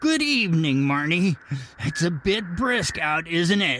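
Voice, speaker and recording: A man's put-on character voice, high in pitch with very wide pitch swings, at a fairly slow pace and a very even loudness. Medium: audio drama. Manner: smug, teasing.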